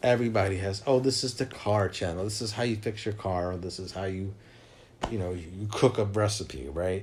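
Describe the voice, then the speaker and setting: A somewhat breathy man with a fairly low pitch, ordinary pitch variation and a moderate pace. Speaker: dog owner vlogger. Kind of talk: casual vlog talk. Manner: halting, many restarts.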